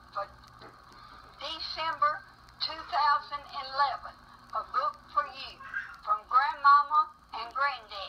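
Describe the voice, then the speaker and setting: Over noticeable background noise, a woman talks in a raised, projected voice at a high pitch and a fairly slow pace, her pitch varying ordinarily while her loudness swings widely. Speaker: grandparent. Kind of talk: reading aloud.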